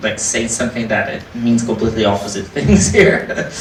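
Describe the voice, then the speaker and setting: A man speaks at medium pitch with a non-native accent. Audible room echo and noticeable background noise surround him. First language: not English. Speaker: indie game developer. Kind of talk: panel discussion. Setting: live panel event with audience.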